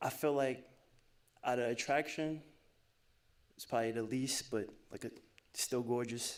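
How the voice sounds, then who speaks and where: A man with a medium pitch speaks at a moderate pace, leaving long, frequent pauses. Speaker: dating show contestant. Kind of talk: casual chat. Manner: animated.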